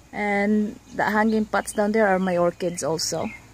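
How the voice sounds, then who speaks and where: Very slow speech in a dry sound with no echo, over light background noise. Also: woman. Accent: Filipino. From Philippines. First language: Tagalog. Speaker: gardening vlogger. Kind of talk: casual garden tour; casual vlog chat, garden tour. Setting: outdoors on patio. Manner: casual with many fillers. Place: garden. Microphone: phone near.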